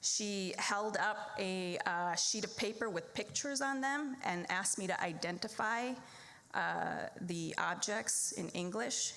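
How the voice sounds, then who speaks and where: A woman with a slight Minnesota accent, very even loudness and ordinary pitch variation, plus audible room echo. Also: medium pitch for a woman, fairly slow pace. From Wisconsin small town, born in the Philippines. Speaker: lawyer and debate program supporter. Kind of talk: fundraising speech.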